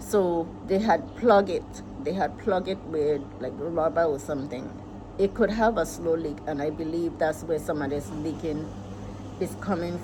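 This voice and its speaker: Over noticeable background noise, a woman with a very deep, low pitch talks at a fairly slow pace with lively intonation. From US Virgin Islands. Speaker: vlogger, farmer and homeowner. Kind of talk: casual vlog talk.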